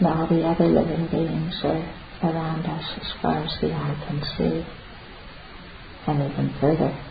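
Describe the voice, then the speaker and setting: The speaker talks at a fairly slow pace in a gentle, calm tone, leaving long, frequent pauses, with noticeable background noise behind. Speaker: meditation teacher. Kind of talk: guided meditation. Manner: slow, calm, soothing pace with long pauses; soft-spoken, gentle and reverent.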